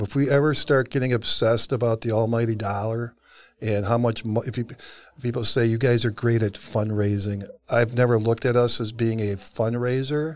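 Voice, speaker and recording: A man with an American accent, medium pitch, at a fairly quick pace. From Cleveland, Ohio. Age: 60s. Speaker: nonprofit founder. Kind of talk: interview. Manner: animated.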